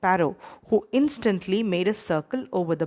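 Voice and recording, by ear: A passage is read aloud in a natural voice.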